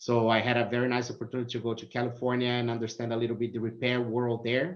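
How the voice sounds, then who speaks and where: A man talks with a Brazilian accent. His pace is very fast. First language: Portuguese. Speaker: automotive technical services manager. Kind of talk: interview.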